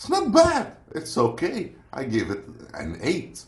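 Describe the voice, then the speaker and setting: In a non-native accent, a man speaks at a fairly slow pace amid noticeable background noise and audible room echo. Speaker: food reviewer. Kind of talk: product review. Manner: casual, hesitant.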